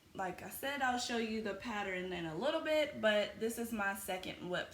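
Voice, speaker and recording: A woman is heard with audible room echo. Noticeable background noise runs underneath. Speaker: crochet podcaster. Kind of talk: casual chat.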